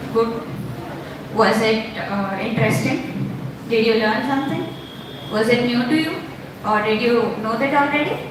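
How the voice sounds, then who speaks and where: Audible room echo and noticeable background noise accompany a woman with a fairly high pitch and ordinary pitch variation, speaking at a fairly slow pace with long, frequent pauses. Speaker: workshop host. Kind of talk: live event hosting. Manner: loud.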